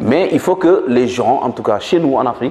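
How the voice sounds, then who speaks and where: Noticeable background noise accompanies a man with a Senegalese accent who speaks at a moderate pace with lively intonation. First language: Manjak (speaking French). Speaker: author and politician. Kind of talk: interview. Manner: hesitant with fillers.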